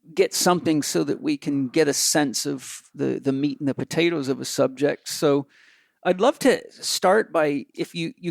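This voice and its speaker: A man speaks in a normal speaking voice at a fairly high pitch and moderate pace. The sound is dry and close with no echo, on a very clean recording with a silent background. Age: 50s. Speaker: podcast host. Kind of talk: interview podcast.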